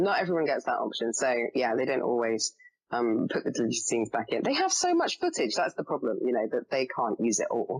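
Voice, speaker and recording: A woman with an English accent speaks at a fairly quick pace. Her loudness stays very even. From England. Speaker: actress. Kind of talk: podcast interview, casual chat. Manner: chatty, many fillers.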